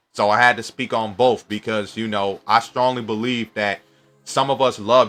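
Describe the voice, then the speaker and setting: Over music in the background, a man with an American accent speaks at a medium pitch in an animated tone. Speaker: YouTuber. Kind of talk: casual commentary monologue.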